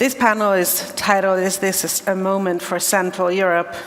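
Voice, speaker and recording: A woman's voice moves at a moderate pace while background noise is noticeable behind it. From Hungary. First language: Hungarian. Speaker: panel chair, civil society advocate. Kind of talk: panel discussion opening remarks.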